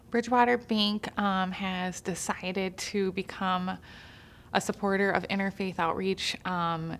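The pace is fairly slow. A woman is speaking. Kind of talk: interview answer. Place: studio.

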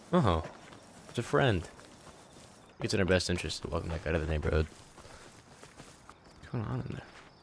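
Over noticeable background noise, a man with a very deep, low pitch talks at a very fast pace with lively intonation, big swings in loudness, and long, frequent pauses. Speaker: gaming youtuber. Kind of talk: gameplay commentary.

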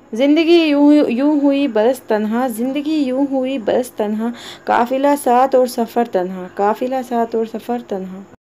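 A woman speaks at a high pitch with ordinary pitch variation and hardly any pauses. Noticeable background noise runs underneath. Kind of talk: poetry reading.

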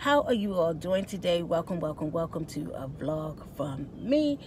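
Speaking at a fairly slow pace, a woman uses a fairly low pitch. The sound is dry with no echo, though background noise is noticeable. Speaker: vlogger. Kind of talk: casual vlog chat. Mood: cheerful, chatty. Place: car. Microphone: phone near.

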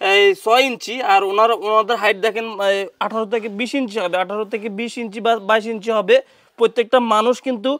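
In a very clean recording with a silent background, a man with a high-pitched voice speaks in a monotone with flat intonation. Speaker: vlogger filming a charity appeal. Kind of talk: on-the-street video appeal.

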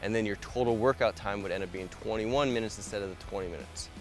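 With faint music in the background and a dry sound with no echo, a man speaks with ordinary pitch variation. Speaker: fitness coach. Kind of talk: tutorial. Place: garden.

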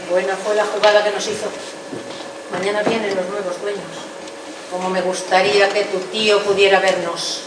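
A woman's speech carries audible room echo, with noticeable background noise around it. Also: moderate pace. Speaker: stage actress playing an aunt. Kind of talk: theatrical monologue. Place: stage.

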